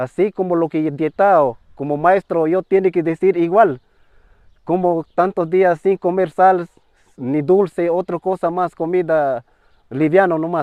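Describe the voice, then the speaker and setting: Speaking in a Peruvian Amazonian accent, a man talks at a fairly slow pace with a high pitch and fairly even intonation. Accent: Peruvian Amazonian Spanish, non-native. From Peru, Ucayali River, Shipibo-Conibo community. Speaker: traditional healer, ayahuasca curandero. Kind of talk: interview answer.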